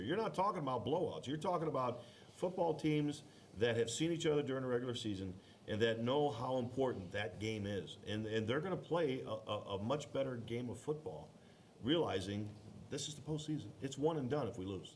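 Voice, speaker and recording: Loud and at a fairly quick pace, a man with an American accent speaks at a medium pitch with very wide pitch swings, with noticeable background noise and audible room echo. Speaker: youth football regional director. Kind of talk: bracket reveal show commentary.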